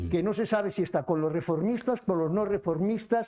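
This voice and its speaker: A high-pitched male voice over noticeable background noise. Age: 70s. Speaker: book presenter. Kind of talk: book presentation dialogue. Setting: cultural centre event with audience.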